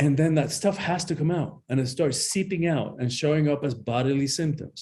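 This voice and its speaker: Somewhat breathy and very even in loudness, a man speaks in a fairly high pitch. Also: ordinary pitch variation, moderate pace. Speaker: empowerment coach and author. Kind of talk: interview. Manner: animated.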